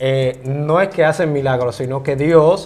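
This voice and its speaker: This man has an ordinary speaking voice with a fairly high pitch. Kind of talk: interview, explaining the Bible.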